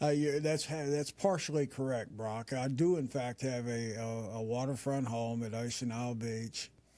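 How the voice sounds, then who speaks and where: A man's dark, mellow voice at medium pitch, with hardly any pauses. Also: ordinary pitch variation, moderate pace. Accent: Appalachian. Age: 60s. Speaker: retired businessman. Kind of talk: interview. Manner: hesitant, many fillers.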